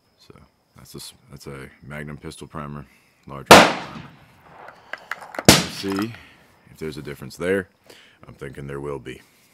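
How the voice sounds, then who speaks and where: A man with a very deep, low voice speaks at a moderate pace, using ordinary pitch variation, big swings in loudness and long, frequent pauses. Noticeable background noise runs underneath. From Appalachia. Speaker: hobby ammunition reloader. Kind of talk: casual talk to camera.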